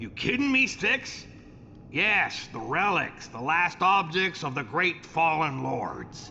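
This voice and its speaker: A man puts on a character voice, high-pitched with very wide pitch swings. He goes at a fairly slow pace over clear background noise. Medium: video game. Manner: bitter, coarse.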